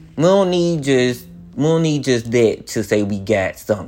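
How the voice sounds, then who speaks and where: In an ordinary speaking voice, a man talks at a fairly slow pace with lively intonation. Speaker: podcast host. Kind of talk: solo rant, confessional. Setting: home, recording alone. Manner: casual, rambling, chatty; emotional, near tears, voice wavering.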